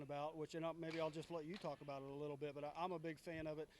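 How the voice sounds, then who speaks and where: A man with an American accent speaks very fast at a fairly high pitch in a flat monotone. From Indianapolis, Indiana. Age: 50s. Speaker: baseball media host. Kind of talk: interview.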